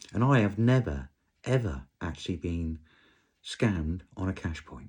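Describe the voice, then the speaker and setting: A man with a British accent speaks in a very deep, low voice with vocal fry and very wide pitch swings. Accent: English (UK). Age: 60s. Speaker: vlogger. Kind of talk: casual rant monologue. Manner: animated, conversational.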